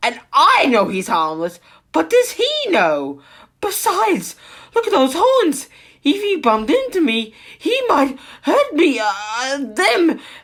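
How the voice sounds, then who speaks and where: Speaking fairly slowly, the person puts on a character voice. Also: female-sounding voice, high pitch for a woman. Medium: read story.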